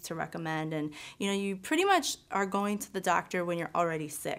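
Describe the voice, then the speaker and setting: A woman with an American accent has an unremarkable speaking voice and a fairly low pitch. She speaks at a moderate pace with fairly even intonation. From Wisconsin. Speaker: wellness entrepreneur; guest. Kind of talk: interview. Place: studio. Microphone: lapel.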